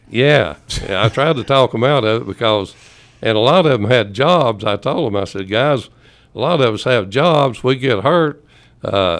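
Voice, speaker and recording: In an East Tennessee accent, a man speaks at a moderate pace and medium pitch with lively intonation. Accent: Southern US (East Tennessee). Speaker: former high school football player. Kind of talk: casual chat. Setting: studio.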